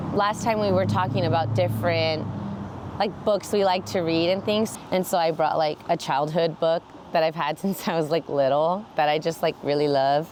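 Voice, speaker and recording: The intonation is lively, in an American accent, with very even loudness. Background noise is noticeable. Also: woman, very deep, low pitch for a woman, moderate pace. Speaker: club founder, designer. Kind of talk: interview. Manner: casual, many fillers.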